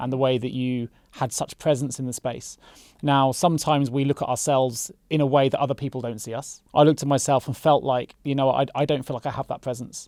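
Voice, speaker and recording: Dark and mellow in tone, a man speaks at a medium pitch and a very fast pace. The recording is very clean, the background silent. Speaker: podcast host. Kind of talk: podcast interview. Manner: energetic.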